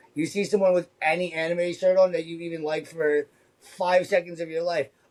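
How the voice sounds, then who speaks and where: A man talks loudly. His tone is animated. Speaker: convention art vendor, former retail salesman. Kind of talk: casual chat. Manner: fast, animated.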